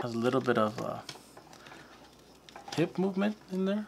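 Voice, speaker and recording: Light noise sits in the background. Over it, a man talks. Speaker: toy reviewer. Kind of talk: casual unboxing commentary.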